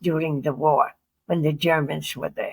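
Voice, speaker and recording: In a somewhat breathy voice, a woman speaks at a fairly slow pace. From Poland. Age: 80s+. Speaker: Holocaust survivor, retired school teacher. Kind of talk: interview answer.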